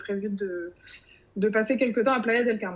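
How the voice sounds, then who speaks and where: A woman talks at a moderate pace with ordinary pitch variation, her pitch fairly high. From France, Bordeaux region. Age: 30s. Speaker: podcast writer about to move abroad. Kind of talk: interview. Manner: hesitant, many fillers.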